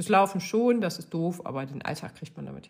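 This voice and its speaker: A somewhat breathy woman's voice in a very clean recording with a silent background. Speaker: running podcaster. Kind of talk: solo podcast monologue. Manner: casual, chatty with many fillers.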